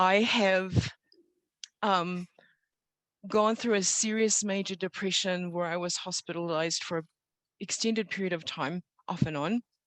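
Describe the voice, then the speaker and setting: A woman with a New Zealand accent, fairly even intonation and long, frequent pauses, in a dry, close sound with no echo. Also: medium pitch for a woman, moderate pace. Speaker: storyteller. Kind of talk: testimony. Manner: unscripted, with hesitations.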